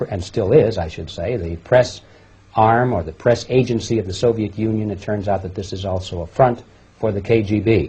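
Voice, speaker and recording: Fairly low in pitch, a man speaks in a somewhat breathy voice. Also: fairly even intonation, moderate pace. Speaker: interviewer. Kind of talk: interview introduction.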